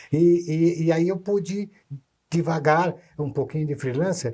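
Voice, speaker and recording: A man talks at a fairly slow pace with a fairly high pitch. His tone is dark and mellow, with ordinary pitch variation. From Brazil, Santos (São Paulo state). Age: 80s+. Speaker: author, children's writer. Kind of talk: casual interview chat. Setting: videocast studio. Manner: halting, many restarts and repetitions.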